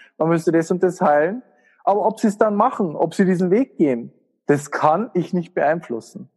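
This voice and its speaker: In a Bavarian accent, a man talks at a moderate pace with a high pitch and ordinary pitch variation. The background is quiet. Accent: Bavarian, warm. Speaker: spiritual coach and healer. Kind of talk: casual interview conversation.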